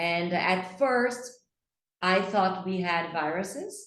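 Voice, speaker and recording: A woman with a Brazilian accent at a very slow pace, with audible room echo. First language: Portuguese. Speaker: English teacher. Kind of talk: online English lesson.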